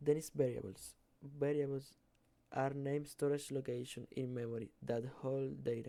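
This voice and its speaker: Dark and mellow in tone, the voice keeps its intonation fairly even. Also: man. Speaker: student. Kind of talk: class presentation. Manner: halting, with self-corrections.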